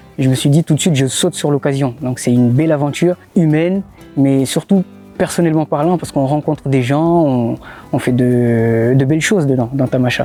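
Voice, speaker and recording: Music plays in the background as a man talks at a fairly quick pace. His pitch is fairly high, with ordinary variation. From Mayotte. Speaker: blogger. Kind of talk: interview answer. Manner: casual, hesitant.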